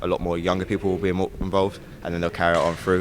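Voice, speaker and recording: Against noticeable background noise, a man with a very deep, low pitch speaks at a very fast pace in a monotone, flat intonation. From Cornwall, England. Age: 20s. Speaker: basketball coach. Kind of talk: interview.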